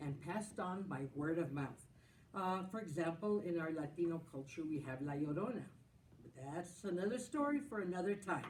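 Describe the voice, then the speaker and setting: Here a woman speaks with lively intonation. There is noticeable background noise in the recording. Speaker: school storytelling host. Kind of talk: introduction to children's story session. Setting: council chambers.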